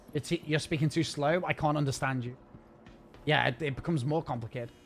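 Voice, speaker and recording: Music plays in the background as a man with a Scouse accent speaks at a fairly quick pace. His pitch is fairly high, with ordinary variation. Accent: Scouse-leaning northern English. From northern England, Wirral. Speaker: video game streamer. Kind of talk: live stream chat.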